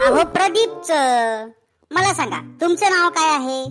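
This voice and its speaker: A cartoonish character voice at an extremely high pitch speaks at a fairly slow pace over faint music in the background. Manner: earnest, increasingly frustrated.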